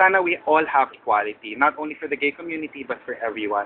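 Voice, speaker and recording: Over noticeable background noise, a man talks at a very fast pace with a fairly high pitch and ordinary pitch variation. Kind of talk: casual vlog talk to camera.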